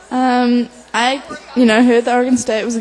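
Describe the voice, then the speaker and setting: A woman is heard over noticeable background noise. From New Zealand. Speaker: college athlete (rower). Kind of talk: radio interview.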